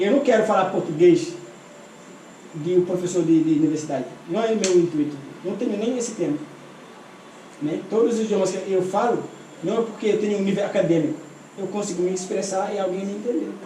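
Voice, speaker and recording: Long, frequent pauses break up speech with ordinary pitch variation, heard with noticeable background noise and audible room echo. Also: man, high pitch for a man, fairly quick pace. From Senegal. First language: not Portuguese; learned it as an adult in Brazil (speaking Portuguese). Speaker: translator and interpreter. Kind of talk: interview, personal life story. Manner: animated.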